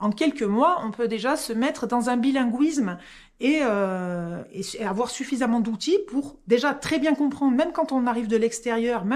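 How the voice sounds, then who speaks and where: The recording is very clean, with a silent background. A woman talks fairly slowly in a high voice with lively intonation. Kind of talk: explanatory, professional.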